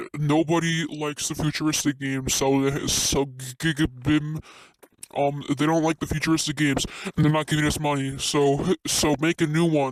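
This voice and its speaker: A man's put-on character voice, monotone with flat intonation. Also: fairly high pitch for a man, moderate pace. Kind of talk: comic overacting. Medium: voice reel. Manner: stammering.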